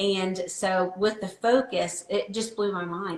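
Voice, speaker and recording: A woman at medium pitch with fairly even intonation, amid noticeable background noise. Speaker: wellness product promoter. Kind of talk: casual interview chat.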